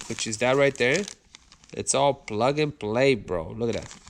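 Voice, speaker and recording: Noticeable background noise fills the recording. Over it, a man speaks at a medium pitch. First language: not English. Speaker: car YouTuber. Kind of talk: casual unboxing video. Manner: animated.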